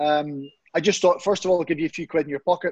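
A man with a Northern Irish accent talks very fast at a fairly high pitch, the sound dry and close with no echo against a quiet background. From Northern Ireland, Comber near Belfast. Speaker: football pundit, ex-professional footballer. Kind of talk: interview. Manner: animated.

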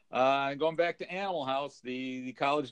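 This man has a plain, everyday voice with an American accent. He talks at a moderate pace and a fairly high pitch. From California. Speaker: podcast co-host. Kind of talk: casual chat.

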